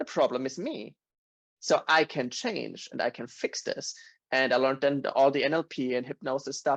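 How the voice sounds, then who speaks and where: A man with a German accent speaks fairly quickly at fairly high pitch, in a dry, close sound with no echo and a quiet background. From Germany, Bavaria. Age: 30s. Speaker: podcast guest. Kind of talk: casual chat.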